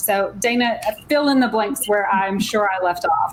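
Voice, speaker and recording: A woman speaks with a Southern US accent. Her pitch is medium, and her pace is moderate. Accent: southern US twang. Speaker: tech coaching leader. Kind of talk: panel discussion. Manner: halting, many fillers.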